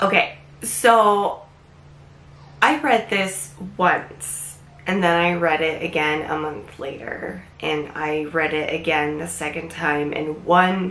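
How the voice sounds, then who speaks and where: A woman speaks very slowly with long, frequent pauses, in a fairly low pitch with ordinary pitch variation. Noticeable background noise runs beneath her voice. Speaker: book reviewer. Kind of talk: casual book review to camera.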